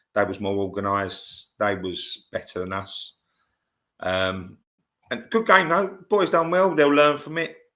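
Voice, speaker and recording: In a London accent, a man with a medium pitch and a bright, sharp tone swings very widely in pitch on a very clean recording with a silent background. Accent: southern English, London area. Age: 60s. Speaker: football scout and grassroots coach. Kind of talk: podcast interview. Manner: halting, many fillers.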